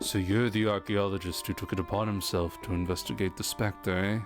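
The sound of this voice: A gruff, gravelly put-on character voice talks at a fairly quick pace. Music plays clearly in the background. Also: man, fairly low pitch for a man.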